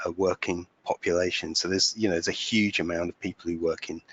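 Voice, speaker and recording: Speaking in a British accent, a man keeps a monotone, flat intonation at a very deep, low pitch. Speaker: digital workplace consultant. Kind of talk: webinar presentation. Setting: webinar. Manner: halting, many fillers.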